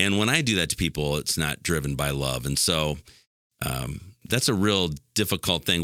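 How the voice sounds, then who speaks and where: A man speaks at a very deep, low pitch with vocal fry and a bright, sharp tone. The recording is very clean, with a silent background. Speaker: pastor. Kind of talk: casual chat.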